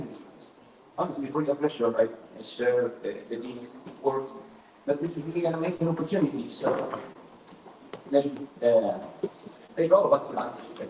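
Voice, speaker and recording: With audible room echo and noticeable background noise, a man of fairly high pitch talks at a moderate pace, with ordinary pitch variation, big swings in loudness, and long, frequent pauses. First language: Spanish. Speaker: academic speaker. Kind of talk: lecture. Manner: halting.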